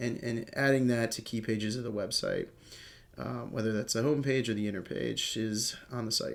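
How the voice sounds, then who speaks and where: A medium-pitched man with a Cleveland accent speaks at a moderate pace, keeping his intonation fairly even. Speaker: digital marketing trainer. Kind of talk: tutorial. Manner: casual, filler-heavy.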